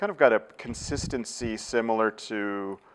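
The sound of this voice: A man with a Californian accent speaks at a fairly low pitch with lively intonation. Vocal fry runs through his voice. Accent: Californian American.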